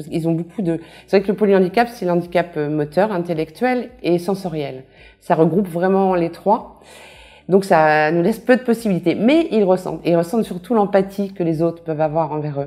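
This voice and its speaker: Very clean and silent in the background, this recording captures a woman with a dark, mellow tone. She speaks at a fairly quick pace, with ordinary pitch variation and big swings in loudness. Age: 60s. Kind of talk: testimony. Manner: hesitant, many fillers.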